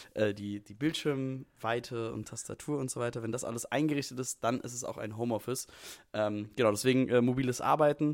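Intonation stays fairly even at a moderate pace. The speaker has a plain, everyday voice. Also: man. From Frankfurt, Hesse. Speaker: podcast co-host. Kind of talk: casual chat. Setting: video call from home.

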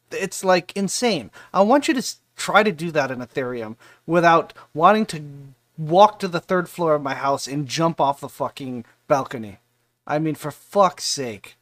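With an unremarkable speaking voice, a man talks at a moderate pace in a fairly high pitch, with lively intonation and big swings in loudness, on a very clean recording with a silent background and a dry, close sound with no echo. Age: 40s. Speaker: crypto community livestream host. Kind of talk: casual livestream AMA. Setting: live stream.

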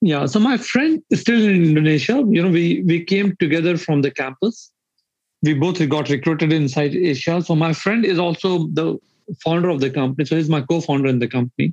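With an Indian accent, a man talks at a very even loudness with ordinary pitch variation. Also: fairly quick pace. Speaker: startup founder and CEO. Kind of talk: casual interview chat.

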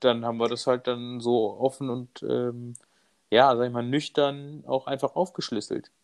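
Speaking at a fairly slow pace, a man with a medium pitch keeps his intonation fairly even. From Bavaria, Munich. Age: 30s. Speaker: stay-at-home father and cameraman. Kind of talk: casual interview. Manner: hesitant, many fillers.

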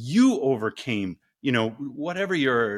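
A man speaks with very wide swings in pitch. The sound is dry and close, with no echo. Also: very clean recording, silent background. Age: 50s. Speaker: engineering professor and ice bath company co-founder. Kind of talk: interview conversation.

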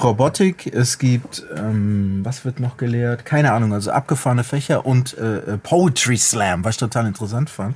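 A man speaks at a moderate pace with hardly any pauses. His voice is somewhat breathy. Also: medium pitch for a man, ordinary pitch variation. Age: 40s. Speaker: rapper and music producer. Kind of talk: casual chat.

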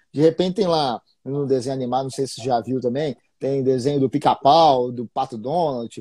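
A man's dark, mellow voice at a medium pitch with a Minas Gerais accent, fairly quick, with fairly even intonation and big swings in loudness, in a dry, close sound with no echo. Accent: Minas Gerais Brazilian Portuguese. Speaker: investing podcast host. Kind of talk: casual live-stream interview. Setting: Instagram live stream.

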